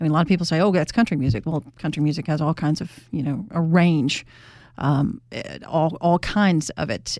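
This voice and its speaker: Speaking at a moderate pace in a Mississippi accent, a woman with a fairly low pitch and ordinary pitch variation is heard on a very clean recording against a silent background. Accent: Southern US, Mississippi. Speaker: radio interviewer. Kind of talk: interview.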